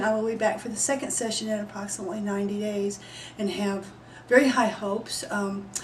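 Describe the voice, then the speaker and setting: Noticeable background noise and audible room echo surround the speaker. She is a woman with an American accent and a fairly high pitch. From Texas. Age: 60s. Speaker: patient. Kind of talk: testimony.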